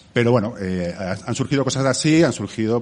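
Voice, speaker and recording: A man hurries along at a very fast pace with lively intonation as noticeable background noise continues. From Catalonia. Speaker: bar owner. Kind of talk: interview. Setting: bar.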